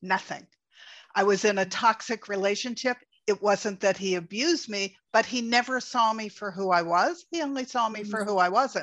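A woman with an ordinary speaking voice, fairly high in pitch, at a moderate pace with ordinary pitch variation against a quiet background. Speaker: podcast host. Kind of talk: interview conversation. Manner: warm, conversational.

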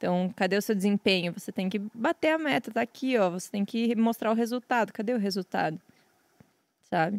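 In a very clean recording with a silent background and a dry, close sound, a woman with a normal speaking voice talks fairly quickly at a medium pitch with ordinary pitch variation. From western Santa Catarina, Brazil. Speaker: professional poker player and streamer. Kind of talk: casual chat.

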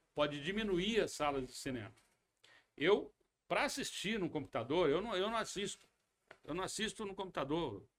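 A man with a high pitch talks at a moderate pace with lively intonation, broken by long, frequent pauses. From western São Paulo state and Paraná, Brazil. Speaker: actor, producer and director. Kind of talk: interview. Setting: studio.

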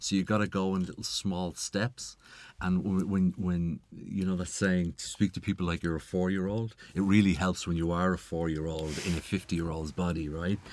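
With an Irish accent, a man speaks in a very deep, low pitch and monotone, flat intonation at a moderate pace on a very clean recording with a silent background. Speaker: tech entrepreneur. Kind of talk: interview. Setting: studio.

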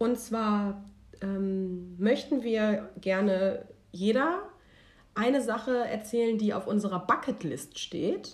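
Very slowly, a woman talks in a fairly high, somewhat breathy voice with ordinary pitch variation. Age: 20s. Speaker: podcast co-host. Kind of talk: casual chat.

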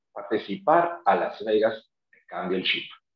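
This man has a plain, everyday voice, speaking at a fairly slow pace with lively intonation. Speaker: real estate agent. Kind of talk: casual chat. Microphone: connection cutting out.

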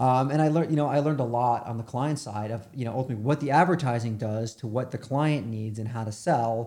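A man's medium-pitched, dark and mellow voice with an American accent, very fast with hardly any pauses and ordinary pitch variation. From New York. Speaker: media agency founder. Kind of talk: interview.

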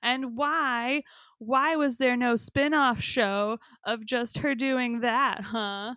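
Speaking very slowly in an American accent, a woman has a high pitch, a bright, sharp tone and fairly even intonation. The recording is very clean with a silent background. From New York. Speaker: podcast host. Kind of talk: casual chat.

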